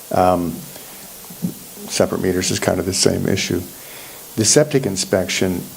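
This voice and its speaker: The speech moves at a moderate pace with long, frequent pauses. Noticeable background noise runs underneath. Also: man, very deep, low pitch for a man, ordinary pitch variation. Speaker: township planning staff. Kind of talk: public meeting discussion. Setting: township planning commission meeting.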